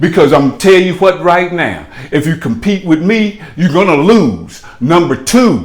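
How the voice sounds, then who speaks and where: The speech is fairly slow, with hardly any pauses and ordinary pitch variation. Noticeable background noise is present. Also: man, high pitch for a man. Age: 70s. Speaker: chauffeur and rideshare vlogger. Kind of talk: casual vlog monologue. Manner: animated; halting, many fillers.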